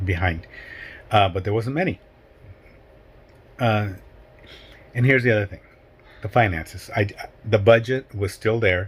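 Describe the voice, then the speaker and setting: The speaker talks at a moderate pace with ordinary pitch variation, somewhat breathy, leaving long, frequent pauses. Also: man. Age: 60s. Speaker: hiking vlogger. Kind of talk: casual vlog monologue. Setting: at home. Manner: halting.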